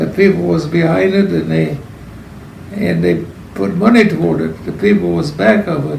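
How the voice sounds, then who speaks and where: A man with an American accent speaks at a moderate pace in a fairly high pitch, his voice swinging very widely up and down. The room echoes audibly, and background noise is noticeable. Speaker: elderly parishioner. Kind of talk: oral history interview. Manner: halting.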